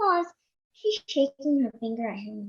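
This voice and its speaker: A woman's put-on character voice with very wide pitch swings. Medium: audio drama. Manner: prim, fussy.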